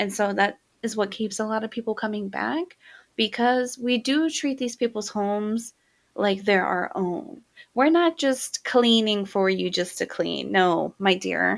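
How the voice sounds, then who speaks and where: Soft-spoken and fairly slow, a woman talks at a fairly high pitch with ordinary pitch variation, in a very clean recording with a silent background. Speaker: podcast host and cleaning business owner. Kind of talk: casual monologue podcast. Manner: casual, filler-heavy.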